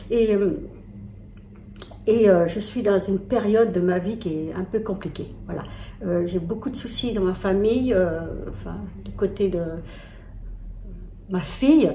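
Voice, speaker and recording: A woman talks at medium pitch and a fairly slow pace, with ordinary pitch variation and long, frequent pauses. Noticeable background noise and audible room echo are present. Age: 60s. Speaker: lifestyle vlogger. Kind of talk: personal vlog, confiding talk. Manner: halting, many hesitations.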